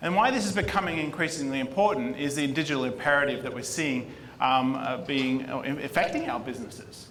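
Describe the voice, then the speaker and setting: A medium-pitched man with an Australian accent at a fairly quick pace, with audible room echo. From Australia, Sydney. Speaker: marketing executive. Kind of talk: conference talk.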